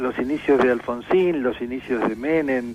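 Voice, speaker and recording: Music plays in the background. Over it, a man talks with fairly even intonation. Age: 60s. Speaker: journalist and political analyst. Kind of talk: radio interview.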